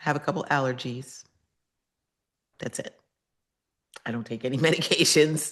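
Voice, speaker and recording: A woman speaks with a very deep, low pitch at a moderate pace and with fairly even intonation. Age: 60s. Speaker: nutrition educator. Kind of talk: interview.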